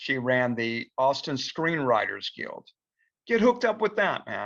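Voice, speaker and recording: A man's fairly high voice with a bright, sharp tone, very wide pitch swings, and a moderate pace over a quiet background. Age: 60s. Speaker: film director. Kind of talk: casual advice talk in virtual meeting. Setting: video call. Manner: hesitant, many fillers.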